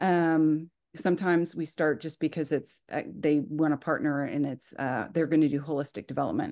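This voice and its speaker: Against a quiet background, a woman speaks with hardly any pauses in a very deep, low pitch, a dark, mellow tone and fairly even intonation. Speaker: church global missions staff. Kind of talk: informational presentation on video call. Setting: video call. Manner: fast.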